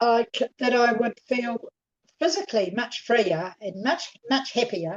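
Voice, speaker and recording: Lively intonation carries the delivery, which proceeds fairly slowly. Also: woman, high pitch for a woman. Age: 70s. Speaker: client with chronic dizziness. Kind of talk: interview answer.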